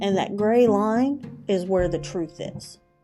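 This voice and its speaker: With music in the background, the speaker moves at a very slow pace with ordinary pitch variation. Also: woman. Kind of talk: true crime podcast narration, casual. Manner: conversational, with hesitations.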